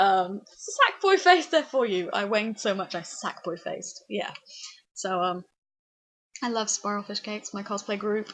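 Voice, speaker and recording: A woman's medium-pitched voice at a moderate pace, animated in tone, with ordinary pitch variation. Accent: British. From England. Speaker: vlogger. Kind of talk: casual vlog chat. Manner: frequent ums, rambling hesitations.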